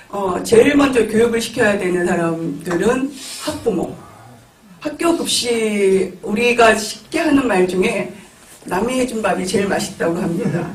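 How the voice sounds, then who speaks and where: A man speaks with a high pitch and lively intonation. Audible room echo and noticeable background noise surround him. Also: fairly slow pace. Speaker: panelist, local food committee member. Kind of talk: panel discussion remarks. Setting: auditorium forum with audience. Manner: hesitant fillers.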